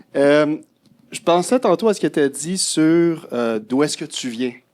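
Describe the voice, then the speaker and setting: The voice comes with a Quebec accent. Its tone is dark and mellow. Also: man. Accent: Québécois. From Quebec City, Quebec. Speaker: audience member. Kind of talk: panel discussion.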